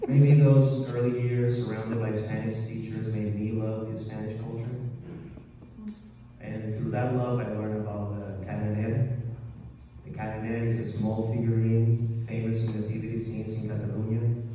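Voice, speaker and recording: A man's medium-pitched voice, monotone and flat in intonation, at a moderate pace over noticeable background noise. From Colombia. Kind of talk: live storytelling performance.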